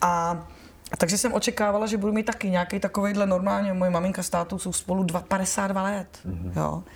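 At a fairly quick pace, a woman speaks at medium pitch in a somewhat breathy voice with monotone, flat intonation. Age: 40s. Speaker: actress. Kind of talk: casual interview. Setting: live stream. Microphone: poorer audio quality.

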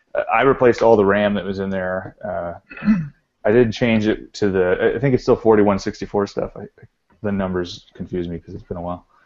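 This man has a plain, everyday voice with an American accent. His pitch sits fairly low, with fairly even intonation. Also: fairly quick pace, big swings in loudness. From Texas. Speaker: arcade collector. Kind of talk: casual chat.

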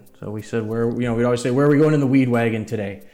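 An American man speaks at medium pitch in a dark, mellow tone with ordinary pitch variation. Room echo is audible. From US Midwest, Metro Detroit, Michigan. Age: 40s. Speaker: cannabis transport business owner. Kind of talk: casual podcast interview.

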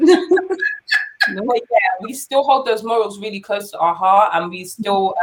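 A woman with a London accent talks at a moderate pace in a medium pitch. Her pitch swings very widely. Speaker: dancer and singer. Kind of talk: interview.

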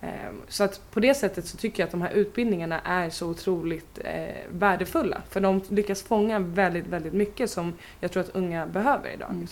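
The voice has vocal fry. The pace is fairly quick. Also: woman, medium pitch for a woman, ordinary pitch variation. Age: 20s. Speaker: youth participation project leader. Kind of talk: interview.

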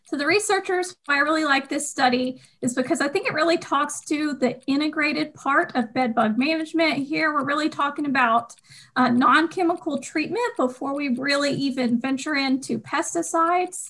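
With a Southern US accent, a woman talks at a moderate pace in a high pitch, with ordinary pitch variation and hardly any pauses. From US South, Georgia. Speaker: podcast co-host.

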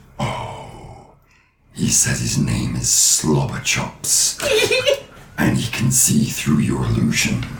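Using a put-on character voice, a man talks very slowly in a very deep, low pitch, leaving long, frequent pauses. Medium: actual play. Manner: calm, measured.

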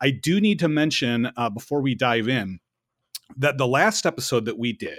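A man's moderate-paced speech, with ordinary pitch variation, is captured on a very clean recording against a silent background. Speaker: podcast host and learning professional. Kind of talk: casual chat. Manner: animated.

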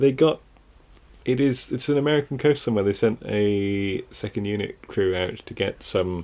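A man with an unremarkable speaking voice talks at a moderate pace, his fairly low pitch moving with ordinary variation. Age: 30s. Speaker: film podcast co-host. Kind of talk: casual chat.

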